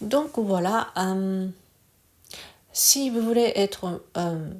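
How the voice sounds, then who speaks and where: A very slow woman's voice with a Japanese accent and ordinary pitch variation. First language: Japanese (speaking French). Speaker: Reiki teacher. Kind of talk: casual talk to camera. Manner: halting, many hesitations.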